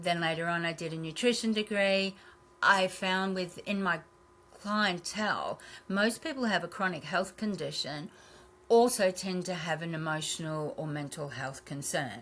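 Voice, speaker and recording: Speaking with an Australian accent, a woman uses medium pitch, ordinary pitch variation and a moderate pace. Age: 60s. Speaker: naturopath and health clinic owner. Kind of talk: podcast interview.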